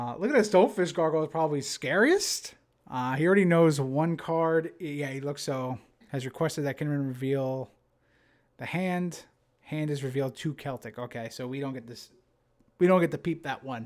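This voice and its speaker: A man with a New Jersey accent and a fairly high pitch, at a moderate pace with ordinary pitch variation and big swings in loudness, in a very clean recording with a silent background. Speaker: game commentator. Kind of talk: live commentary. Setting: live stream. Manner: casual, filler-heavy.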